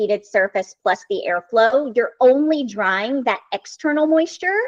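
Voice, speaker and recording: With a slight Southern US accent, this voice moves at a moderate pace through very wide pitch swings, recorded with a dry, close sound and no echo. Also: woman. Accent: slight Southern American. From US South. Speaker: hair stylist and brand educator. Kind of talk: interview.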